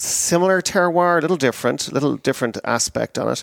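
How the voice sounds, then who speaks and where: On a very clean recording with a silent background, a man speaks at a fairly quick pace with an Irish accent. The sound is dry and close with no echo. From Ireland. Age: 50s. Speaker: wine sales manager. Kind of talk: casual interview.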